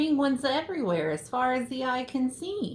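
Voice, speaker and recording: Using a put-on character voice, a woman speaks high in pitch at a moderate pace. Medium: read story. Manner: jovial.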